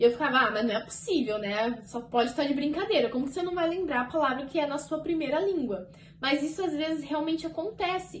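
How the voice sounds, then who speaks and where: A woman with a high pitch talks at a very fast pace with hardly any pauses and lively intonation, with noticeable background noise and audible room echo. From Brazil. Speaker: au pair vlogger. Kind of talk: casual vlog talk to camera. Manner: chatty, conversational.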